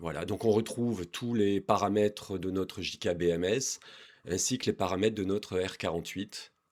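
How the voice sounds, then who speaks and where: In a very clean recording with a silent background, a man with a fairly low pitch and fairly even intonation leaves long, frequent pauses. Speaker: DIY electronics youtuber. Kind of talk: tutorial. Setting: garage basement. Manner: hesitant, with fillers.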